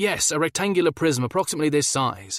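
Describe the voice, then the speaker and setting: A man's put-on character voice, fairly high in pitch, at a very fast pace. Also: dry, close sound with no echo. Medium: read story. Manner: terse, literal.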